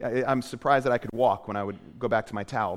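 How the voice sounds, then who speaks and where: His pace is very fast. The man has an American accent. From US Northeast, Portland, Maine. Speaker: pastor. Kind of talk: sermon. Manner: halting, frequent repetitions.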